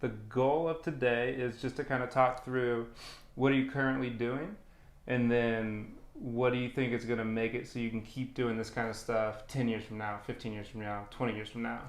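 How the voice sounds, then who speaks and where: A normal speaking voice from a man, medium-pitched and moderately paced. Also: fairly even intonation. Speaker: fitness coach. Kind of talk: casual interview talk.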